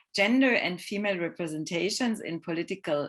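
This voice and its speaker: On a very clean recording with a silent background, a woman speaks with a non-native accent. Her pitch is fairly low with ordinary variation, and her pace is moderate. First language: not English. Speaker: filmmaker and film scholar. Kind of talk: lecture. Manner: halting.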